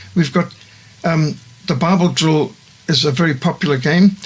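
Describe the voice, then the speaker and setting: Noticeable background noise behind a man's fairly high voice with fairly even intonation. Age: 60s. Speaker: missionary organisation founder. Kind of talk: studio interview. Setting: studio.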